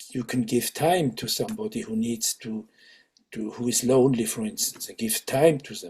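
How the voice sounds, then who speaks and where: A man speaks at a moderate pace in a dark, mellow tone that is somewhat breathy. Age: 70s. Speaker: Sufi teacher. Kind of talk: interview conversation. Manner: halting, with many fillers and restarts.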